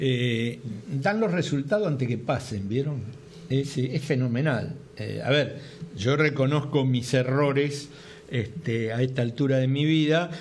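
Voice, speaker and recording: A man with a fairly high voice and an Argentine accent, fairly slow, with ordinary pitch variation, noticeable background noise and audible room echo. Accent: Argentine Spanish (Rioplatense). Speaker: TV sports talk show host. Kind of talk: casual sports talk show chat.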